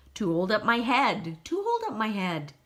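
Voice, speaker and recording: A female-sounding put-on character voice with a fairly high pitch moves at a moderate pace. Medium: read story. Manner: slow, repeats words.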